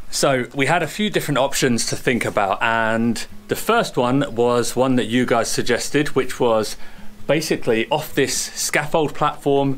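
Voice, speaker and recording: A man at a moderate pace, with ordinary pitch variation and very even loudness. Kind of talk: casual vlog explanation. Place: open country.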